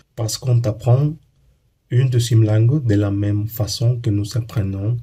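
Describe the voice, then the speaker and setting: With a Spanish accent, a man speaks at a fairly slow pace in a somewhat breathy, medium-pitched voice with a dark, mellow tone. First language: Spanish (speaking French). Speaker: language learning YouTuber. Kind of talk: educational monologue. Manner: halting, with hesitations and repeats.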